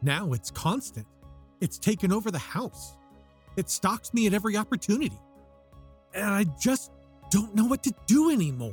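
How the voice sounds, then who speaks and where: Whispering in a shaky, nervous tone, a man puts on a character voice at a moderate pace with long, frequent pauses. The sound is dry and close with no echo, and faint music plays in the background. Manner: nervous, evasive.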